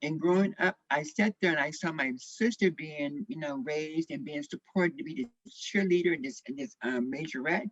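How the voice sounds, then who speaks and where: Very wide pitch swings in an American accent at a fairly quick pace, with a dry, close sound and no echo. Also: woman. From US Midwest, St. Louis, Missouri. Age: 60s. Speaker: activist. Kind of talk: panel discussion testimony.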